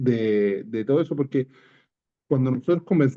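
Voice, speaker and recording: A man talks in a Chilean accent. His pitch variation is ordinary. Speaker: coffee grower asking a question. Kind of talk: audience question. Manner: halting, stammers.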